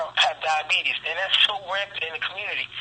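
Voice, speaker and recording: A man at a fairly quick pace, monotone and flat in intonation, over noticeable background noise. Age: 30s. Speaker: sheriff's office deputy and health product distributor. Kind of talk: radio interview answer.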